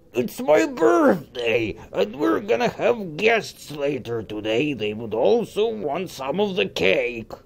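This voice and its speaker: In a cartoonish character voice, a man with a fairly high pitch talks at a fairly slow pace with very wide pitch swings. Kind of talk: cartoon comic acting. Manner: whiny, defensive. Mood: annoyed, protective of cake.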